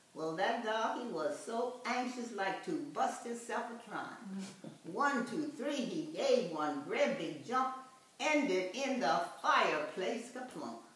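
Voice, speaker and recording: A woman speaks at a very slow pace with a fairly high pitch and very wide pitch swings. Noticeable background noise sits behind her. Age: 80s+. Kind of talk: poetry reading.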